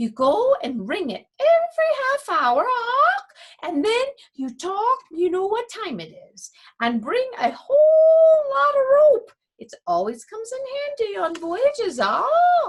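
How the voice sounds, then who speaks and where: This put-on character voice moves at a fairly slow pace and swings very widely in pitch. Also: woman, extremely high pitch for a woman. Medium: read story. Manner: bossy, matter-of-fact, squawking.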